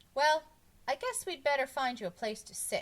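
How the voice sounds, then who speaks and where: In a put-on character voice, a female-sounding speaker projects a raised, high-pitched voice at a moderate pace. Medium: read story.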